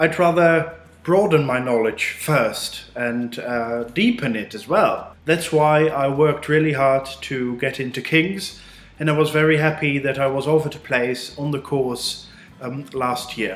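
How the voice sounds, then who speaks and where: A man with a Dutch accent speaks at a fairly slow pace in a fairly high pitch, his pitch varying in an ordinary way. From Netherlands. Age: 20s. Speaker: postgraduate student. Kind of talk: student testimonial.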